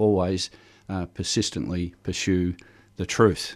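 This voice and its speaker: The recording is very clean, with a silent background. In it, a man talks with an Australian accent. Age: 60s. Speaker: unionist and cooperative member. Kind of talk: radio interview. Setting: radio studio.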